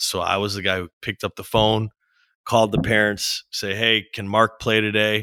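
A man speaks at a moderate pace with a bright, sharp tone. The sound is dry and close with no echo, on a very clean recording with a silent background. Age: 30s. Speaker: business co-founder. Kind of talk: interview conversation.

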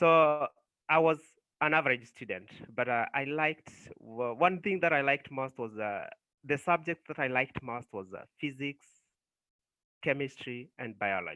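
A man with a Kenyan accent talks at a moderate pace, his fairly high pitch showing ordinary variation. Long, frequent pauses break up his speech. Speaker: nurse. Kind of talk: casual interview.

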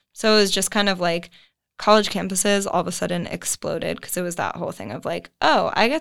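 Speaking at a fairly quick pace with an American accent, a woman uses a plain, everyday voice at medium pitch, and the recording is very clean with a silent background. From US Northeast, Connecticut suburbs of New York. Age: 20s. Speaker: graduate student. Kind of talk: casual interview.

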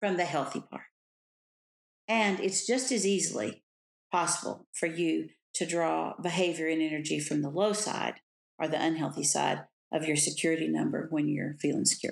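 A woman with a very deep, low pitch and vocal fry, moderate pace, ordinary pitch variation, and long, frequent pauses. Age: 70s. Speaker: Enneagram teacher and author. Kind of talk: interview.

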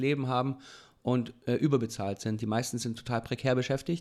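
Monotone and flat in intonation, a man talks fairly quickly at a medium pitch. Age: 30s. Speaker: local politician and podcast co-host. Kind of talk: casual chat.

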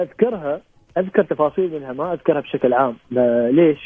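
A man talks with typical pitch movement, keeping a moderate tempo. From Oman. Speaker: poet and engineer. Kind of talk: radio interview.

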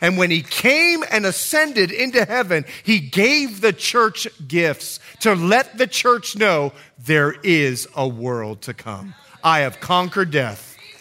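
A man's very slow, high voice with an American accent and very wide pitch swings, set against noticeable background noise. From Bahamas. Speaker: pastor. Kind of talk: sermon. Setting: church service.

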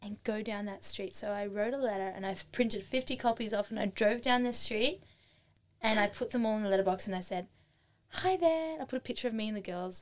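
Talking at a fairly quick pace in an Australian accent, a woman sounds animated, with a fairly high pitch and ordinary pitch variation. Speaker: artisan and craft workshop teacher. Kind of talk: casual interview chat. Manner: fast-talking; animated, lots of laughter.

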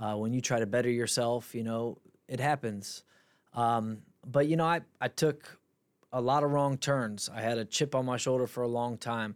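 A man with an American accent and an unremarkable speaking voice talks at a medium pitch and moderate pace with fairly even intonation, in a very clean recording with a silent background. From Akron, Ohio. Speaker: MMA fighter. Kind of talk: interview.

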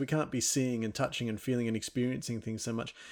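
A man with an Australian accent in a very clean recording, background silent. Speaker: podcast host, physicist. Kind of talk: science podcast conversation.

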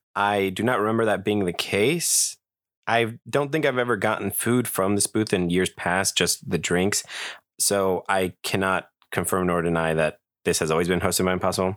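With a plain, everyday voice, a man speaks at a fairly low pitch and moderate pace, with ordinary pitch variation and very even loudness, in a very clean, dry, close recording with a silent background and no echo. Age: 20s. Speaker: podcast host. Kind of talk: casual solo podcast talk. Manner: conversational with filler words.

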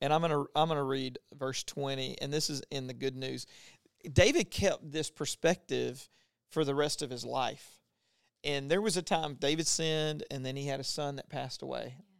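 A man has an unremarkable speaking voice, fairly high with fairly even intonation and an American accent. He talks at a moderate pace, with a dry, close sound with no echo. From Louisiana, US South. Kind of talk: casual faith conversation with Bible teaching.

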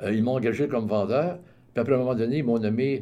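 The man's voice has a dark, mellow tone. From Quebec, Montreal. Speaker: retired salesman and community volunteer. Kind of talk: radio interview.

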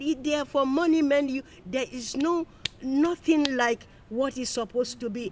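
The talking goes at a fairly slow pace while noticeable noise sounds in the background. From outside the UK. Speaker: community member interviewee. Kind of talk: casual chat.

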